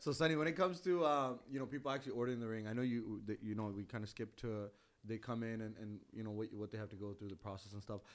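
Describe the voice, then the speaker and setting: Speech comes at a very fast pace with ordinary pitch variation. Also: man, medium pitch for a man. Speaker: podcast host and MC. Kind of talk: casual chat.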